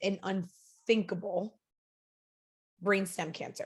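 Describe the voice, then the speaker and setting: A woman's medium-pitched voice with a Long Island accent and fairly even intonation. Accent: Long Island New York. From Long Island, New York. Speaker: network marketing director. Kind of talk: podcast interview.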